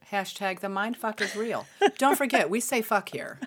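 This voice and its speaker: Lively intonation marks this woman's fairly high voice, captured in a very clean recording with a silent background. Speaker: podcast host. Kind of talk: casual chat. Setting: live stream. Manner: animated.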